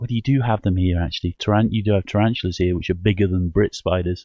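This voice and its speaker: Very fast speech from a man with a northern English accent, fairly low pitch, ordinary pitch variation. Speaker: paranormal call-in show host. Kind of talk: casual chat. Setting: live radio show. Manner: halting.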